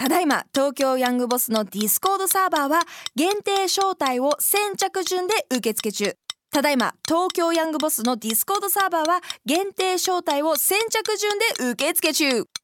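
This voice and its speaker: In a dry, close recording with no echo, a woman speaks at a moderate pace in an extremely high voice with very wide pitch swings. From Tokyo, Japan. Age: 20s. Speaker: podcast co-host, model and radio presenter. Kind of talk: casual chat.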